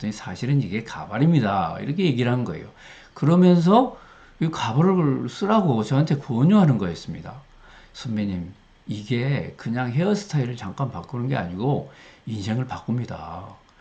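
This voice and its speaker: A man's dark, mellow voice, somewhat breathy, swings very widely in pitch. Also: medium pitch for a man, moderate pace. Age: 60s. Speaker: retired professor, learning center director. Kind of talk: casual talk to camera.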